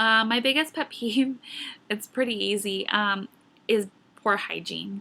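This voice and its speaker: With a General American accent, a woman speaks at a fairly slow pace in a bright, sharp tone and fairly even intonation. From Arizona, Scottsdale. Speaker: vlogger. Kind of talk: casual vlog, answering viewer questions.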